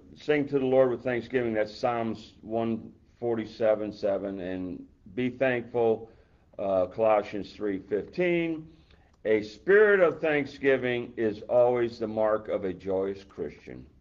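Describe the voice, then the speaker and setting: Speaking very slowly, a man uses a medium pitch with ordinary variation. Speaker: deacon. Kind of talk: fervent prayer, earnest and heartfelt. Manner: earnest, fervent prayer tone.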